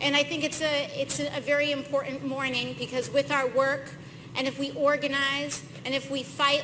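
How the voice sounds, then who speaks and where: A woman's raised, projected voice, high in pitch, at a fairly quick pace with fairly even intonation, amid noticeable background noise. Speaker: member of Congress. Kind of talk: political speech at an event.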